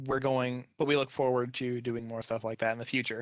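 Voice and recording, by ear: A man's medium-pitched voice at a fairly quick pace, with little pitch movement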